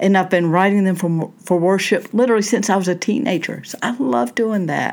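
Medium-pitched woman's voice with a Southern US accent and ordinary pitch variation, on a very clean recording with a silent background. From Southern United States. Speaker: minister and therapist, podcast host. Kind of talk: solo podcast talk on faith and self-help. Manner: conversational, with fillers.

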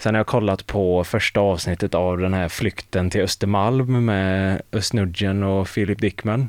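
Recorded very cleanly over a silent background, a man with an unremarkable speaking voice talks at a fairly slow pace with hardly any pauses, fairly low in pitch, with very even loudness and fairly even intonation. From Mark municipality, West Sweden. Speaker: student radio host. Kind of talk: casual chat.

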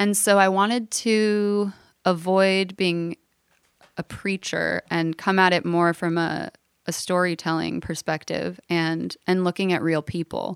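Recorded very cleanly with a silent background and a dry, close sound with no echo, a woman with an American accent and a normal speaking voice talks at a fairly slow pace, with fairly even intonation and a fairly low pitch. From Los Angeles, Southern California. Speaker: singer-songwriter. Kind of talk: casual interview.

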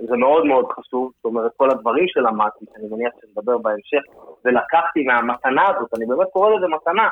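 In an unremarkable speaking voice, the speaker moves at a fairly quick pace with lively intonation. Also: man, medium pitch for a man. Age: 40s. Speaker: actor and stand-up comedian. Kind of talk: casual podcast interview.

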